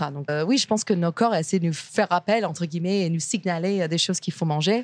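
Talking at a very fast pace, a woman with fairly low pitch and ordinary pitch variation sounds dry and close with no echo on a very clean recording with a silent background. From US, Virginia. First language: English (speaking French). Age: 30s. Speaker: chef and restaurant owner. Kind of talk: interview. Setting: restaurant kitchen.

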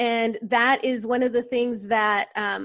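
A woman with a plain, everyday voice speaks fairly slowly at a fairly high pitch. Her intonation stays fairly even against a quiet background. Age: 40s. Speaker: entrepreneur and business coach. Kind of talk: casual interview.

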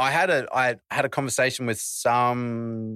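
A man with an Australian accent speaks in a dry, close recording with no echo, very clean against a silent background. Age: 20s. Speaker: wheelchair athlete and rapper. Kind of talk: casual interview chat.

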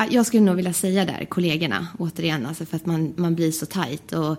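At a moderate pace, a woman with a fairly low pitch and ordinary pitch variation speaks in an unremarkable speaking voice. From Sweden, Västerås. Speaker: flight attendant. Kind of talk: casual interview. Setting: studio.

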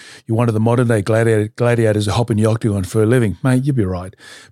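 A man with an Australian accent, fairly low pitch and monotone, flat intonation at a very fast pace, on a very clean recording with a silent background. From Australia, Newcastle NSW. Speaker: retired mixed martial artist. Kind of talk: casual interview.

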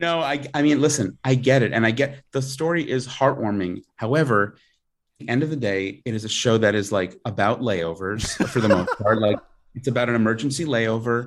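Ordinary pitch variation marks speech delivered at a moderate pace. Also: man, medium pitch for a man. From New York, Long Island. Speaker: writer and performer. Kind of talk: casual chat. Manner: halting, repeats words.

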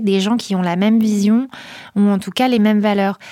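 A woman speaks at a fairly quick pace in a plain, everyday voice with a medium pitch. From northern France, near Calais / Boulogne-sur-Mer. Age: 30s. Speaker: social entrepreneur, head of a refugee-support nonprofit. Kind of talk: interview.

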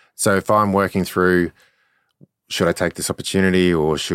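In a monotone, flat intonation, a man with a very deep, low pitch talks at a fairly quick pace in a very clean recording with a silent background. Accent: Australian. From Australia, Brisbane. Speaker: former Olympic rower and LinkedIn consultant. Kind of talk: casual interview.

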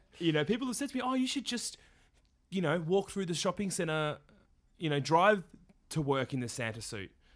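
With an Australian accent, a man speaks high for his sex at a fairly quick pace, leaving long, frequent pauses. His pitch swings very widely, and the recording is very clean with a silent background. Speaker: podcast host, professional Santa performer. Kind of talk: casual chat.

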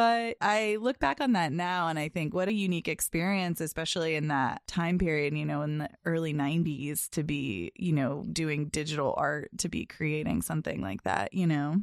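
An American woman speaks with lively intonation at a moderate pace, in a very deep, low voice with hardly any pauses. The sound is dry and close with no echo, on a very clean recording with a silent background. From US Northeast, Boston area. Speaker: art director. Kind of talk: casual chat. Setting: studio.

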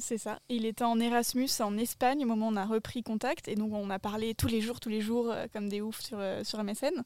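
Recorded very cleanly against a silent background, a woman with an unremarkable speaking voice speaks at a moderate pace and a fairly high pitch, with fairly even intonation. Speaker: podcast guest. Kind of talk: casual chat. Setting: outdoors, garden table.

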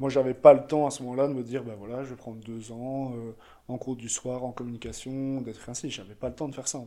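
A man with a dark, mellow tone at medium pitch speaks at a very fast pace. His intonation stays monotone and flat while his loudness swings widely. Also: very clean recording, silent background. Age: 20s. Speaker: photographer and young entrepreneur. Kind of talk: casual interview chat.

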